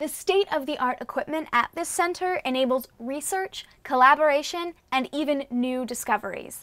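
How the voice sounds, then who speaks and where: High-pitched, a woman speaks at a moderate pace with ordinary pitch variation. The background is quiet. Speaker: educational show host. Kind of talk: presenter to camera. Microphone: lapel.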